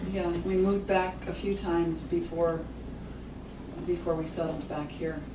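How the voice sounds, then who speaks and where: A woman with a fairly low voice and fairly even intonation speaks with long, frequent pauses, amid audible room echo and noticeable background noise. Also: moderate pace. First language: Japanese. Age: 60s. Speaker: author and trauma survivor speaker. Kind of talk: Q&A after a talk.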